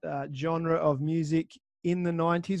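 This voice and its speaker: With an Australian accent, a man speaks at a moderate pace in a fairly high pitch, his intonation monotone and flat against a quiet background. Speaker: podcast host. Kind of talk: casual interview chat.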